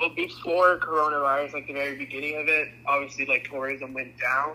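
A man speaks at a fairly high pitch in a flat, monotone delivery, with noticeable background noise. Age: young. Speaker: college student. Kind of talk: interview.

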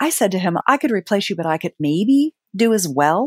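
A woman with an ordinary speaking voice, fairly low pitch and moderate pace, in a dry, close sound with no echo. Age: 50s. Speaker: sex and relationship advisor. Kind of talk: interview.

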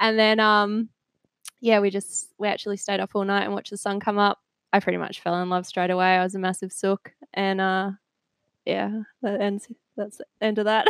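A woman speaks at a moderate pace and medium pitch in a flat monotone, with a dry, close sound and no echo. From England, village near Cambridge. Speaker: nutritionist and gym manager. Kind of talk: casual interview.

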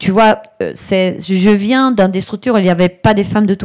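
A woman speaks in an Italian accent with a dark, mellow tone. Her pitch varies in an ordinary way. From Italy, Brescia. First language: Italian (speaking French). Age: 50s. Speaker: digital strategy consultant. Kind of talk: live interview before audience.

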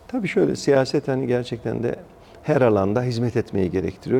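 Here a man talks at a fairly quick pace in an ordinary speaking voice, with medium pitch and ordinary pitch variation. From Ankara, Turkey (Mamak). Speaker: district mayor and politician. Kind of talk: interview conversation.

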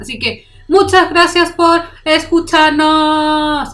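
A woman with a high voice speaks in a Chilean accent. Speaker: podcast co-host. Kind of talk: casual chat.

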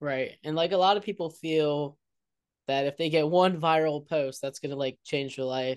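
A man's plain, everyday voice, fairly high in pitch, at a moderate pace with fairly even intonation, over a quiet background. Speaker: podcast host. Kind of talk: casual interview.

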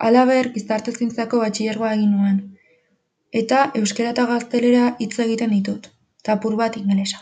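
Flat and monotone, a woman's somewhat breathy voice sits at a fairly high pitch with a dark, mellow tone. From Basque Country, Urretxu (Gipuzkoa). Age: young. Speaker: university student. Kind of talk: scripted narration.

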